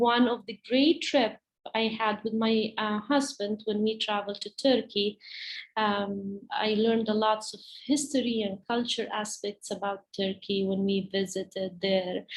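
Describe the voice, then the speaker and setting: A somewhat breathy woman with an Arabic accent, fairly high in pitch, at a fairly slow pace with fairly even intonation. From Palestine. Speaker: teacher. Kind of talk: presentation to parents. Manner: halting, many fillers.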